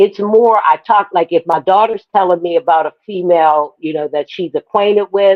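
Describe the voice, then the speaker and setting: This is an unremarkable speaking voice moving at a moderate pace with ordinary pitch variation. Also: woman, medium pitch for a woman, hardly any pauses. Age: 60s. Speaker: panelist on women's talk show. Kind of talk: casual chat.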